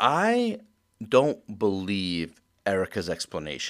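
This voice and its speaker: The recording of this man is very clean, and the background is completely silent. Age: 30s. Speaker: podcast host. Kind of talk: casual chat.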